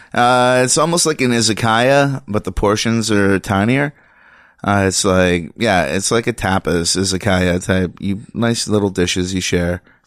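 A man with a plain, everyday voice speaks at a fairly low pitch and a moderate pace, with ordinary pitch variation and very even loudness. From Canada, Ottawa (West End). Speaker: stand-up comedian. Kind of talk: casual chat.

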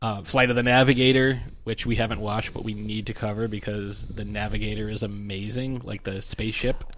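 Speaking at a fairly quick pace with hardly any pauses, a man keeps a fairly low pitch and fairly even intonation. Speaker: podcast co-host. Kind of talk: casual chat. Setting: studio. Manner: loud.

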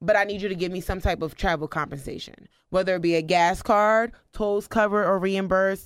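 A woman with an American accent and a plain, everyday voice, medium in pitch, at a moderate pace, in a very clean recording with a silent background. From US Northeast, New Jersey. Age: 20s. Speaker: public speaker and foster care advocate. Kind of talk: interview conversation. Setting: studio.

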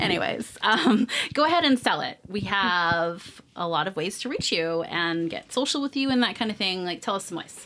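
Amid noticeable background noise, a woman at medium pitch talks at a moderate pace with lively intonation and hardly any pauses. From San Francisco Bay Area. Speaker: food podcast host. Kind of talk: casual interview.

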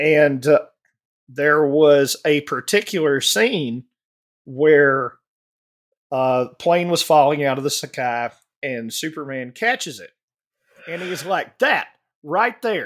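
A man with a Southern US accent, very slow, with long, frequent pauses and big swings in loudness. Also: fairly high pitch for a man, ordinary pitch variation. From US South, Alabama. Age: 40s. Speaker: podcast panelist. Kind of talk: casual chat.

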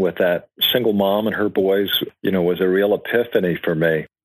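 Moderately paced, a man talks in a plain, everyday voice, fairly low in pitch. The background is quiet. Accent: American. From Georgia, US South. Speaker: charity founder, marketing executive. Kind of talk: interview.

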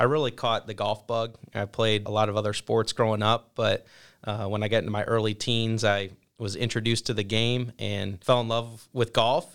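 A man with a Midwestern US accent speaks at a moderate pace and medium pitch. The recording is very clean, with a silent background. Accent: US Midwest. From Ohio, Toledo area. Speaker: golf program instructor. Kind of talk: interview.

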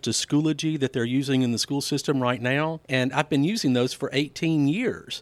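A man with a Mississippi accent, fairly high in pitch, with fairly even intonation and a fairly slow pace, in a very clean recording with a silent background. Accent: US Southern (Mississippi). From Mississippi, Laurel. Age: 50s. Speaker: school board candidate, educator. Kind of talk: interview. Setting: studio.

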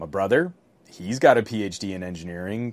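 A man speaks at a moderate pace with a fairly low pitch and ordinary pitch variation. It is a plain, everyday voice. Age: 40s. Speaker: tech podcast co-host. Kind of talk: casual chat.

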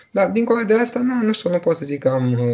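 With noticeable background noise, a man talks using lively intonation. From Romania, Bucharest. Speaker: doctor. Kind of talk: interview. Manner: halting.

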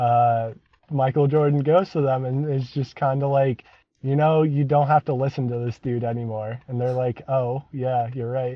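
A man talks at medium pitch in a plain, everyday voice. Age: 20s. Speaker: comedy band member. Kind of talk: casual chat.

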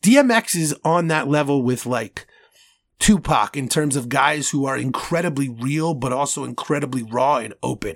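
The recording is very clean with a silent background. A man with a fairly high pitch, ordinary pitch variation and a normal speaking voice talks at a moderate pace. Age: 30s. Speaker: podcast host. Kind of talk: casual chat.

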